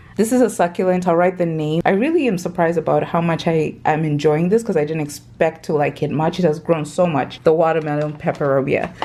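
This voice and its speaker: Against noticeable background noise, a woman with a fairly low pitch speaks with hardly any pauses and ordinary pitch variation. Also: fairly quick pace. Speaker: plant content creator. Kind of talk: casual home tour vlog. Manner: casual, hesitant with fillers.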